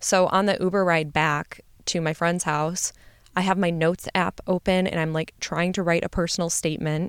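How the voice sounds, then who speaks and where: This woman, with an American accent and a fairly low pitch, speaks at a moderate pace in a monotone, flat delivery, recorded very cleanly against a silent background with a dry, close sound and no echo. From US Midwest. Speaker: podcast host, medical graduate. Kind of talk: personal storytelling monologue. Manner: casual, filler-heavy.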